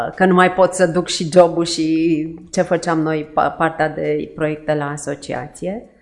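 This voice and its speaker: In an ordinary speaking voice, a woman talks at a fairly slow pace with fairly low pitch and fairly even intonation. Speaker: charity co-founder. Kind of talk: interview.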